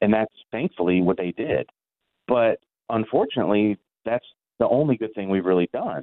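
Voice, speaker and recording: A man talks in an ordinary speaking voice, pitched fairly low, with ordinary pitch variation and a moderate pace. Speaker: geography professor. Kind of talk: interview.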